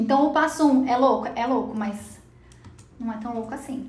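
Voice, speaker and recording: Speech comes at a moderate pace with ordinary pitch variation. Audible room echo is present. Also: woman. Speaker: podcast host. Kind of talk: casual chat.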